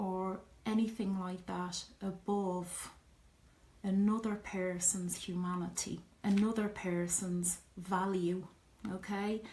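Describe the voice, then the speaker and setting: Speaking very slowly with long, frequent pauses, a woman keeps a flat, monotone delivery at a medium pitch. She has an Irish accent, and there is noticeable background noise. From Ireland. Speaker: interviewee on identity. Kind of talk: personal testimony.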